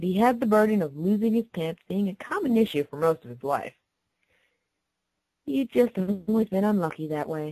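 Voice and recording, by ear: At a moderate pace, a woman with a medium pitch and a dark, mellow tone speaks with lively intonation in a dry, close recording with no echo.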